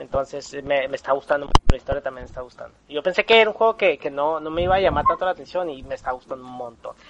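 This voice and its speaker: With a dry, close sound and no echo, a man with a fairly high voice talks at a very fast pace, with hardly any pauses, big swings in loudness and ordinary pitch variation. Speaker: podcast host. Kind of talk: casual chat.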